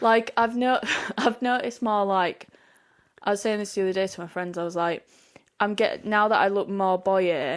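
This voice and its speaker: In a Yorkshire accent, a woman talks at a moderate pace with ordinary pitch variation. The recording is very clean with a silent background. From Yorkshire, England. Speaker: podcast co-host. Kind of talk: casual chat.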